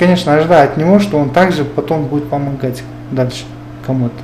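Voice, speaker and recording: Room echo and noticeable background noise surround the recording. A man speaks at a fairly high pitch. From Kyrgyzstan, Talas region. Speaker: businessman. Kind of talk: interview. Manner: halting.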